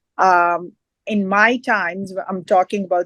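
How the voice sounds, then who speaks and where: Speaking in a Punjabi accent at a fairly slow pace, a woman keeps a medium pitch and fairly even intonation, with a dry, close sound and no echo against a quiet background. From Punjab, northern India, rural village. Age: 40s. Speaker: fitness expert and community advocate. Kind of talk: interview. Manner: hesitant, many fillers.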